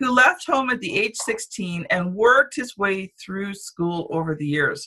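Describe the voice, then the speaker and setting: A woman with a Canadian accent talks at a fairly slow pace. Her bright, sharp voice swings very widely in pitch. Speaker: podcast host and publisher. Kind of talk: casual interview, with scripted intro and outro.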